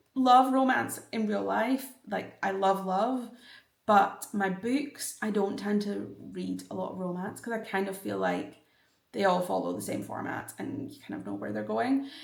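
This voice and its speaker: A woman at a fairly slow pace, with big swings in loudness and audible room echo. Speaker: book vlogger. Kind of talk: casual vlog talk.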